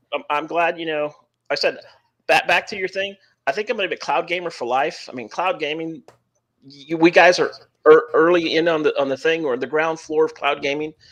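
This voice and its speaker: A man with a Texan accent, high in pitch, at a fairly quick pace with ordinary pitch variation. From Texas. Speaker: podcast guest, cloud gamer. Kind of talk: casual chat. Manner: halting, repetitive.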